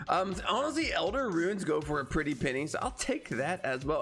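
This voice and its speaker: Over music in the background, a man talks with a high pitch. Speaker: gaming YouTuber. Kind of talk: gameplay commentary. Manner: fast, repetitive; casual.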